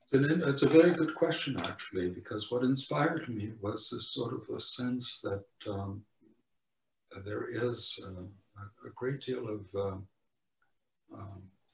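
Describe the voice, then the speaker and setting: A man speaks at a fairly slow pace, with long, frequent pauses and big swings in loudness. His medium-pitched, somewhat breathy voice has lively intonation. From Poland. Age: 80s+. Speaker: Holocaust survivor speaker. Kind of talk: testimony. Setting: video call. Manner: halting.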